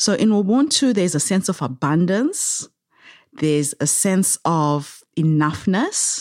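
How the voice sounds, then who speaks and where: A woman at a medium pitch with very wide pitch swings and very even loudness, in a very clean recording with a silent background. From Zimbabwe. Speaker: social entrepreneur. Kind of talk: interview. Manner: animated.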